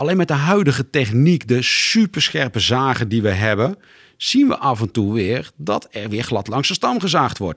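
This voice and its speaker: A man at a medium pitch swings his voice very widely, recorded very cleanly against a silent background with a dry, close sound and no echo. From Ede, Gelderland, Netherlands. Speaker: tree care company coordinator. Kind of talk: interview. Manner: halting.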